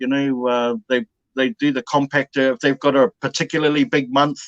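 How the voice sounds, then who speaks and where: A man with a New Zealand accent at a moderate pace, fairly high in pitch, the sound dry and close with no echo. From New Zealand, Bay of Plenty, North Island. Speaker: dumpster diver. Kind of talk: casual chat. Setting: live stream.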